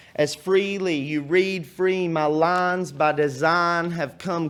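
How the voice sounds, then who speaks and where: In a very clean recording with a silent background, a man with a high pitch speaks very slowly with ordinary pitch variation. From Texas. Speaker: poet. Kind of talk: spoken word poetry performance. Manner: passionate.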